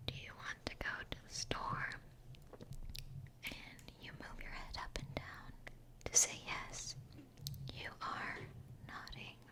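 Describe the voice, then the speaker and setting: Whispering at a very slow pace with long, frequent pauses over noticeable background noise. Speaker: English teacher, ASMR creator. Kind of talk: educational vocabulary lesson and whispered book reading. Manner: whispered, soft-spoken.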